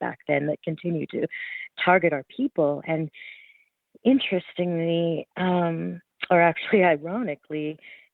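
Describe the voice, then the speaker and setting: A woman with a Canadian accent talks in a normal speaking voice, fairly low in pitch, with ordinary pitch variation. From Alberta, Canada. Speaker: journalist and author. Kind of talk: interview. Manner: many fillers and repetitions.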